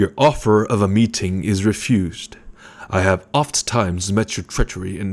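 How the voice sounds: The intonation holds fairly even. It comes from a natural reading voice.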